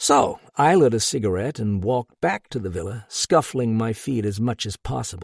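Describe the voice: The speaker does a plain reading aloud with ordinary pitch variation.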